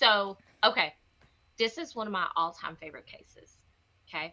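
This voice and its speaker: With a bright, sharp tone, a woman speaks in an animated way, her intonation lively and her loudness swinging widely. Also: medium pitch for a woman, moderate pace. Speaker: true crime podcast co-host. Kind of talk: casual chat.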